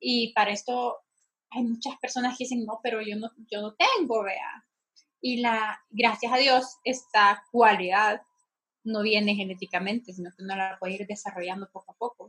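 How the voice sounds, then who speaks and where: A woman's fairly high voice at a moderate pace, fairly even in intonation but with big swings in loudness. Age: 20s. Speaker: podcast co-host on mental health. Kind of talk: casual chat.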